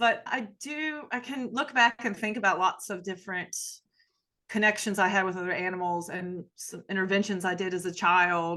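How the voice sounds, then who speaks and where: A woman talks in an Appalachian accent at medium pitch with ordinary pitch variation. Her tone is bright and sharp over a quiet background. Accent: Southern US, Appalachian. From US South, Appalachia. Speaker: sociology professor. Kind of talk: podcast interview.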